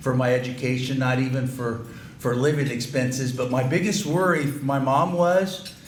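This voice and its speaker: A man with a Midwestern US accent talks at a moderate pace and a fairly high pitch with fairly even intonation. Noticeable background noise and audible room echo surround him. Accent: General American, Midwest. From Ohio, US Midwest. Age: 60s. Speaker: banquet keynote speaker. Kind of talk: speech to banquet audience. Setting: banquet hall with audience. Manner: halting, repetitive.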